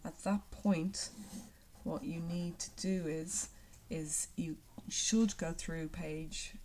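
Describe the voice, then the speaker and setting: With an Irish accent, a woman speaks in a somewhat breathy, dark, mellow tone at a fairly low pitch. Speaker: secondary school geography teacher. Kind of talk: recorded lockdown lesson.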